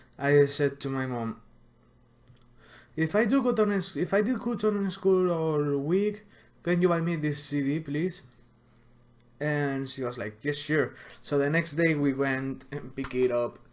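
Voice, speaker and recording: Using lively intonation and a fairly high pitch, a man talks at a fairly slow pace with long, frequent pauses. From Spain. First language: Spanish. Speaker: music collector youtuber. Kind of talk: casual collection showcase video.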